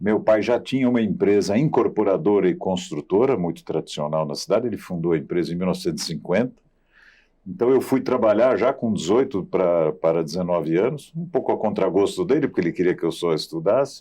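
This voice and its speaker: A man's fairly low voice, dark and mellow in tone, with very wide pitch swings at a fairly quick pace over a quiet background. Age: 60s. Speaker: real estate industry executive. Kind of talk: interview. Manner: halting, with self-repetitions.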